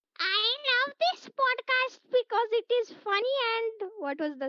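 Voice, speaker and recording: Putting on a loud, shrill character voice at an extremely high pitch, a woman speaks fairly slowly with very wide pitch swings. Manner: exaggerated, demonstrating.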